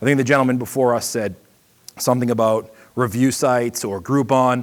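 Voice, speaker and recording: A man speaks with a slight Boston accent. His intonation stays fairly even. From Boston area, US. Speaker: seminar presenter, marketing consultant and podcaster. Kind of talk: seminar talk. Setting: stage with audience at an expo. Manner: fast.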